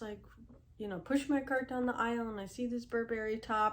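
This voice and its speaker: A woman uses a normal speaking voice at a fairly high pitch with fairly even intonation. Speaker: reseller vlogger. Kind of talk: casual tutorial vlog. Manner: conversational, with fillers.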